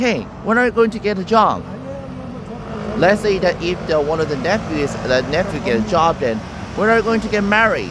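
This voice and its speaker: Lively intonation marks this man's moderate-paced speech. Noticeable background noise is present. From South Korea. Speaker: YouTuber. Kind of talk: casual explainer monologue. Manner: halting, many fillers.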